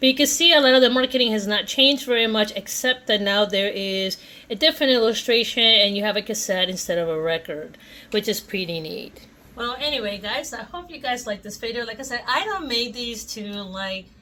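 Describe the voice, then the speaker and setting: In a Spanish accent, a woman with a fairly high pitch and a bright, sharp tone talks at a fairly quick pace, with lively intonation and big swings in loudness. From Puerto Rico. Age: 40s. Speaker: toy collector YouTuber. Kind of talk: casual vlog chat.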